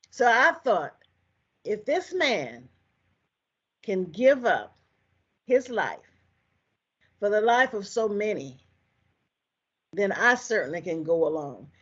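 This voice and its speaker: With an American accent and vocal fry, a woman speaks very slowly with long, frequent pauses, her fairly high pitch making very wide swings. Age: 80s+. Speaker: civil rights veteran. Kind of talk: testimony.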